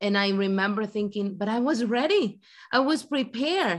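A woman with a Spanish accent. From Ecuador. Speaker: guest. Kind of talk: casual chat. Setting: video call.

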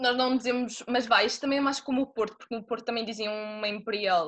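Against a quiet background, a woman speaks in a fairly high pitch with fairly even intonation. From Madeira, Portugal. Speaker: student. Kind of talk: casual interview. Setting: video call.

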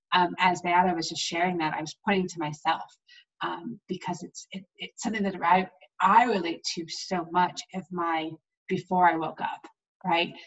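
Using a plain, everyday voice, a woman speaks at a fairly low pitch and moderate pace with fairly even intonation. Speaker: podcast host and coach. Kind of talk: interview. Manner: effusive.

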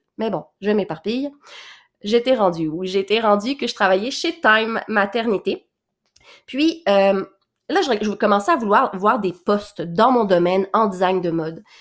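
A woman at medium pitch with lively intonation, on a very clean recording with a silent background. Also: fairly slow pace. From Quebec (Laurentians), born in Réunion. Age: 20s. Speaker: podcast host and boutique owner. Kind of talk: casual monologue.

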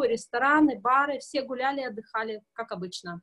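A woman with a high voice speaks at a moderate pace. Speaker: cruise passenger in quarantine. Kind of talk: casual interview. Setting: video call from hotel corridor.

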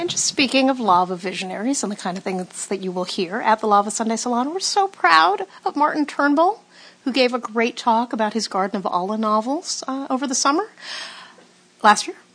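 Speaking with an American accent, a woman goes at a fairly quick pace with a fairly high pitch and very wide pitch swings. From Los Angeles. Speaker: podcast co-host. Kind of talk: podcast conversation.

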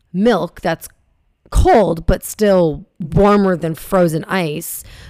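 A woman speaks with fairly even intonation. Her pitch is medium. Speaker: podcast host. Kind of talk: casual chat.

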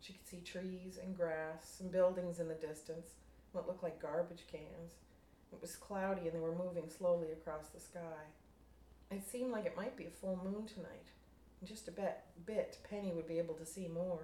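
A woman with a fairly low pitch speaks with fairly even intonation and big swings in loudness, over noticeable background noise. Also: moderate pace. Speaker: fiction writer. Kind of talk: reading aloud.

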